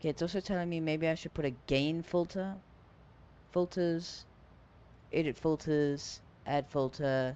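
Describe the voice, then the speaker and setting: Speaking with an American accent, a man uses a fairly high pitch and fairly even intonation. His pace is fairly slow, with long, frequent pauses. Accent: viewers say British-sounding; he hears none. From US South. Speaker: flight sim streamer. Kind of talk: casual live stream chat.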